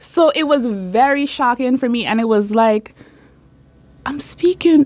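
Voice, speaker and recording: The pace of speech is moderate. Noticeable noise sits in the background. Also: woman. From Sint Maarten. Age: 20s. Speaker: law student. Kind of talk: radio interview.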